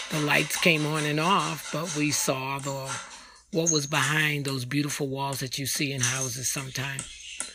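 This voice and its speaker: A woman's very deep, low voice with an American accent, moderate pace and monotone, flat intonation, with audible room echo and music in the background. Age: 60s. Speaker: podcast host giving spiritual reflections. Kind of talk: devotional monologue.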